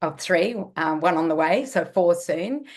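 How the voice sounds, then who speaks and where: In front of a quiet background, a woman with a fairly low pitch and an Australian accent talks at a fairly slow pace with lively intonation. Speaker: nutritionist. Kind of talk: interview.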